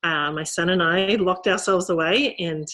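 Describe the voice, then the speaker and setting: A woman is speaking. She has an Australian accent. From rural Australia. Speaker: novelist. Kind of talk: author talk. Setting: video call. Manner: halting.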